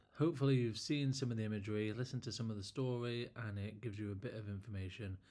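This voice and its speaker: A man speaks at a very fast pace and a medium pitch. His pitch variation is ordinary. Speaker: landscape photographer. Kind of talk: casual talk to camera. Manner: halting, word-finding pauses.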